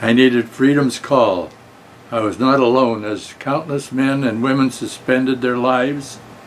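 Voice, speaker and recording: Over noticeable background noise, a man with an American accent speaks at a fairly slow pace and a medium pitch, with monotone, flat intonation. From Colorado, Denver. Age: 90s. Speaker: war veteran. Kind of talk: prepared talk to students. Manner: halting.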